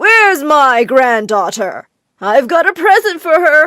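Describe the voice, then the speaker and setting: In a cartoonish character voice, a woman speaks at a high pitch and a fairly slow pace, her pitch swinging very widely. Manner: warm toward granddaughter.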